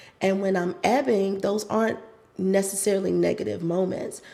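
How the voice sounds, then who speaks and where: A woman talks at a fairly quick pace. There is noticeable background noise behind her. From US South, North Carolina. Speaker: pilates instructor. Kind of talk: interview conversation.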